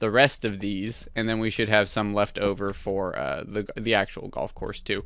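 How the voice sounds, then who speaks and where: A man with a fairly low pitch speaks at a fairly slow pace. The recording is very clean, with a silent background. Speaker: gaming youtuber. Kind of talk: let's play commentary.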